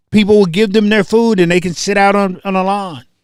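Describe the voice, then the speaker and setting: An animated tone marks this man's speech. He talks at a fairly quick pace. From US South (Tennessee, North Carolina). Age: 60s. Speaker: online show host. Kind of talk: casual livestream monologue.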